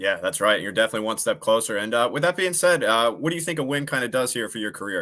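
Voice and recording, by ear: A man with a fairly low pitch, bright and sharp tone, lively intonation and a fast pace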